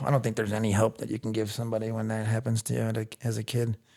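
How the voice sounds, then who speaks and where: A man with a strong Chicago accent speaks at a medium pitch. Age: 40s. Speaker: recovering addict sharing his story. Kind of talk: personal testimony. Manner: loud.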